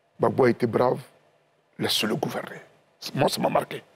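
A man with vocal fry speaks at a moderate pace. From Côte d'Ivoire. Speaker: party official; guest. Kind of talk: TV panel discussion. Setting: TV studio. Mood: solemn, mournful remembrance. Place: studio. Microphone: lapel.

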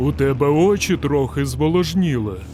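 A man speaks in a put-on character voice at medium pitch and a moderate pace. Background noise is clearly audible. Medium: fan dub. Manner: deadpan, slow, unflappable.

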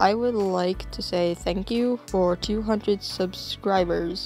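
With music in the background, a woman speaks at a medium pitch and a fairly slow pace. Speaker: hobby digital artist. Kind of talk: drawing tutorial talk. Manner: calm, relaxed.

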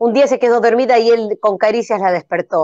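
In a Rioplatense accent, a woman talks at a moderate pace with a dry sound, no echo, and a quiet background. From Argentina. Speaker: improv comedian. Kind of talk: improvised comedy narration. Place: home room. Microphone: video call.

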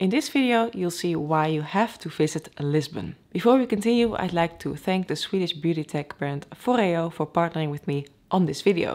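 Using an ordinary speaking voice, a woman talks with lively intonation at a fairly low pitch, hardly pausing at all. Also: moderate pace. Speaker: airline pilot vlogger. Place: home room.

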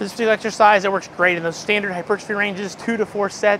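Light background noise is heard under a man's voice. He speaks at a high pitch with ordinary pitch variation. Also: dry sound with no echo. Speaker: fitness coach. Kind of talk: tutorial. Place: gym.

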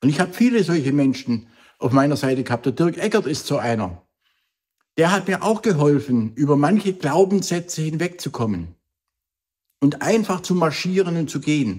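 A moderate pace with long, frequent pauses against a quiet background. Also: man, lively intonation. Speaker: motivational speaker. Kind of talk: motivational vlog talk. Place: home room.

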